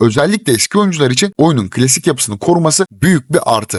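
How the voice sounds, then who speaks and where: Animated and with lively intonation, a man talks at a fairly quick pace. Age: 20s. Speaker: gaming YouTuber. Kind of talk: game review. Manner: casual, animated.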